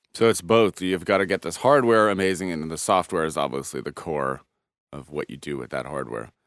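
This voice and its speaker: A very deep, low-pitched male voice with vocal fry, lively intonation and big swings in loudness at a fairly quick pace, on a very clean recording with a silent background. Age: 30s. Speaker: podcast host. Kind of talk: interview. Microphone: nice microphone.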